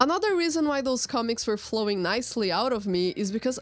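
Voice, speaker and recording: Music in the background behind a woman's fairly high voice in a Portuguese accent. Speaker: artist. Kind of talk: narrated drawing timelapse.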